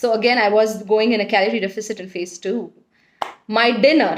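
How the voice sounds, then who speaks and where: This is a woman with an Indian accent. Her pitch sits in the medium range. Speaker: weight loss vlogger. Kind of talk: casual vlog talk.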